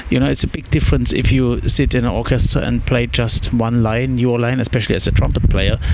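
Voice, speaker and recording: Talking very fast with hardly any pauses, the speaker has a German accent, heard with audible room echo and noticeable background noise. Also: man. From East Germany (Meissen). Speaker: orchestra conductor. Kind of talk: interview. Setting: coffee shop, then practice room. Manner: halting.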